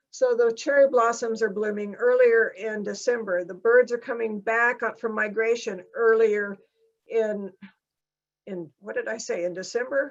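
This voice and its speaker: In an unremarkable speaking voice, a woman talks at a moderate pace with a fairly high pitch, fairly even intonation and big swings in loudness. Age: 60s. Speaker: climate scientist. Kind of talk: lecture. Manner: casual, conversational.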